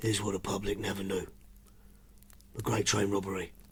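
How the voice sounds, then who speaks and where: Putting on a character voice, a raspy man talks at a fairly low pitch and a moderate pace. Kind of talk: hard-boiled voice-over. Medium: audio drama. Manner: terse, clipped.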